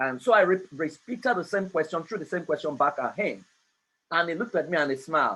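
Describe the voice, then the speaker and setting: A man's high-pitched voice, very fast and lively in intonation, bright and sharp in tone, over a quiet background. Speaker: family life coach and speaker. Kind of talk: online talk.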